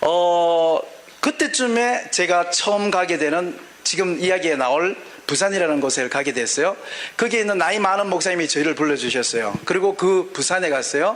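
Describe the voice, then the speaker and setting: A man's high-pitched voice with lively intonation and very even loudness over noticeable background noise. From Gyeongsang region, South Korea (born in Daegu). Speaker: pastor. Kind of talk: sermon. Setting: auditorium with audience and interpreter. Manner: fast.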